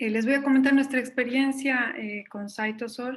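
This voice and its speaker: With a Bolivian accent, a woman speaks at a high pitch, with fairly even intonation and a fairly slow pace. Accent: Bolivian Spanish, noticeable. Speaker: intensive care physician. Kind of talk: conference presentation. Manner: hesitant, many fillers.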